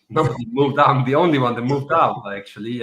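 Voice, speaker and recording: With an Italian accent, a man speaks at a very fast pace and medium pitch, with ordinary pitch variation. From Italy, Trieste. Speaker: artist and coach. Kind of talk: interview conversation. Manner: halting, with repeated words.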